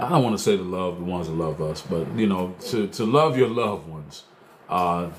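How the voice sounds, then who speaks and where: Lively intonation from a man at a fairly quick pace, with audible room echo and noticeable background noise. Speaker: talk show host and truck driver. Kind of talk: casual livestream talk show. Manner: loud; hesitant, many fillers.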